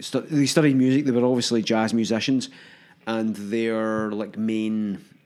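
In a Lanarkshire accent, the speech moves at a fairly slow pace with fairly even intonation. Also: man, medium pitch for a man. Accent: Scottish (Lanarkshire). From Hamilton, Scotland. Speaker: podcast co-host. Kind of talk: casual chat.

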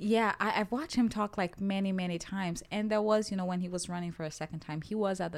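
On a very clean recording with a silent background, a woman with a Portuguese accent talks at a very fast pace in a medium pitch with hardly any pauses. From Brazil. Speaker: podcast co-host. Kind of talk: casual chat.

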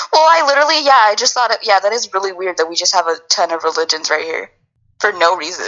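This woman talks at a very fast pace with a medium pitch. Her pitch swings very wide. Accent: American. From Northern California, Yuba City area. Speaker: podcast co-host. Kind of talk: casual chat.

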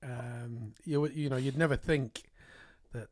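A man with a somewhat breathy, medium-pitched voice talks with fairly even intonation. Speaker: podcast host. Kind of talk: casual interview chat. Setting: studio.

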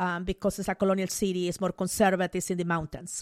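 Fairly quick and medium in pitch, a woman speaks with a Spanish accent in a very clean recording with a silent background and a dry, close sound with no echo. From Peru, Mollendo. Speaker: sociologist and business author. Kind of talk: interview.

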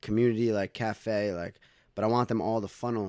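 In a very clean recording with a silent background, a man with a fairly low pitch talks at a very fast pace in a monotone, flat intonation. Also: dry, close sound with no echo. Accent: New York. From New York, Westchester County (Dobbs Ferry). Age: 20s. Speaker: recording studio owner and recording artist. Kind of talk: casual interview chat.

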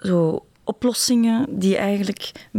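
A woman's voice, dark and mellow in tone, carries ordinary pitch variation in a dry, close recording with no echo. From Brussels, Belgium. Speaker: visual artist. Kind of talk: interview. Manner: halting, many repetitions and fillers.

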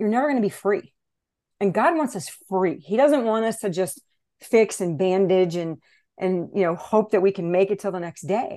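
At a moderate pace and medium pitch, a woman speaks with ordinary pitch variation and long, frequent pauses. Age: 60s. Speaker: life coach. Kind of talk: testimony. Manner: animated.

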